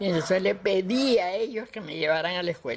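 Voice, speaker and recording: A woman's speech comes with noticeable background noise. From Cuba, Havana. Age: 80s+. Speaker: cultural promoter. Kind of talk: interview. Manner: halting.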